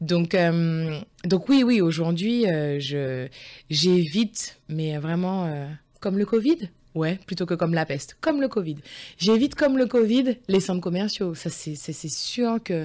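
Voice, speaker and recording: A woman's fairly low, dark, mellow voice with lively intonation at a very slow pace, on a very clean recording with a silent background. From France, Lyon area. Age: 40s. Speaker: school teaching assistant. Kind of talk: interview conversation.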